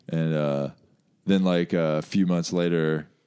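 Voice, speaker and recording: A man with an American accent talks very slowly at a very deep, low pitch, his tone dark and mellow and his intonation monotone and flat. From US, West Virginia. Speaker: comedian. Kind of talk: casual chat. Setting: studio.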